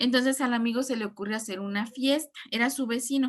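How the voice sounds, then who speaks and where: A woman's high-pitched voice, fairly even in intonation, at a fairly quick pace. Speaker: teacher. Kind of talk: online class lecture.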